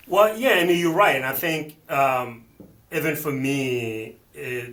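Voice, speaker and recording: Noticeable background noise runs behind a man speaking at a fairly slow pace. His pitch is medium, with ordinary pitch variation. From Benin, West Africa. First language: not English; multilingual. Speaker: financial planner. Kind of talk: interview conversation. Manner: halting, frequent repetitions and fillers.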